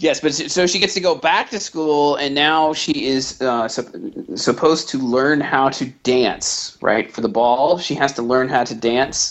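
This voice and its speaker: Slightly slow in pace, a man with a plain, everyday voice speaks at a fairly high pitch with ordinary pitch variation. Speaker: podcast host. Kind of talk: casual chat.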